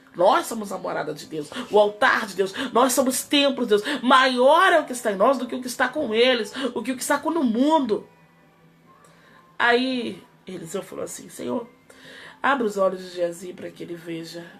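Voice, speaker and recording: Music plays behind a woman whose fairly high voice swings very widely in pitch. Her loudness varies greatly, and she leaves long, frequent pauses. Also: moderate pace. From Rio de Janeiro, Brazil. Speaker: pastor. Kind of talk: sermon.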